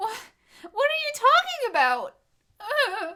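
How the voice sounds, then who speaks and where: A put-on character voice, squeaky and extremely high in pitch, at a fairly slow pace. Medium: audio drama.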